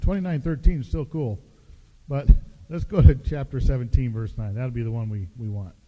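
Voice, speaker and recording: The voice has an American accent and a dark, mellow tone, somewhat breathy. Its intonation is lively, with big swings in loudness. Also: man. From US Pacific Northwest. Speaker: pastor. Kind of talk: sermon. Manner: hesitant fillers.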